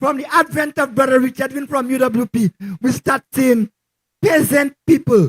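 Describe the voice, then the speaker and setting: In a dry, close sound with no echo, a man with an extremely high pitch talks at a moderate pace with ordinary pitch variation. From Saint Lucia, Castries. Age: 60s. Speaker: local resident giving endorsement. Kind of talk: political rally speech. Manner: halting, repetitive.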